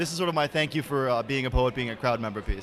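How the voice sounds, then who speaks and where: Over noticeable background noise, a man talks loudly with ordinary pitch variation. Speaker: spoken word poet. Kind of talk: spoken word performance. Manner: rhythmic, rapid delivery.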